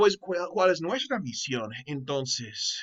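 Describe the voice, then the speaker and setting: Here a man speaks with a non-native accent. His pitch varies in an ordinary way. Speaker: Bible teacher. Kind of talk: online course lecture. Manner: halting.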